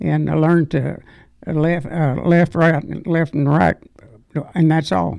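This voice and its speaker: A man with a Southern US accent speaks at a fairly slow pace. He leaves long, frequent pauses. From Arkansas. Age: 90s. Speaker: war veteran. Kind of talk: interview. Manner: halting.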